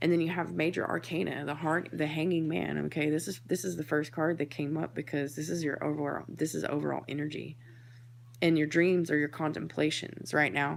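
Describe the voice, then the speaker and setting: A woman talks at a fairly quick pace with a very deep, low pitch. Her voice has vocal fry and ordinary pitch variation. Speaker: tarot reader and spiritual medium. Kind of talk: tarot reading monologue. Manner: hesitant, many fillers; quiet, thoughtful.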